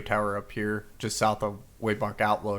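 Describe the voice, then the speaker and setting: A man's fairly low-pitched voice. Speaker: game commentator. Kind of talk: live commentary. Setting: voice chat. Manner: monotone.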